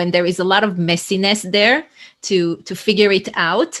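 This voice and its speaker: A woman talks in an Israeli accent at a fairly slow pace. Her pitch sits in the medium range. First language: Hebrew. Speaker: leadership coach. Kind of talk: interview conversation. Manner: energetic.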